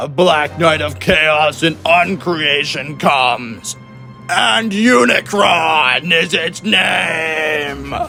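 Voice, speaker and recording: Clear music plays in the background behind a man's put-on character voice. It is fairly high in pitch and comes at a very slow pace. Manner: shouting, menacing.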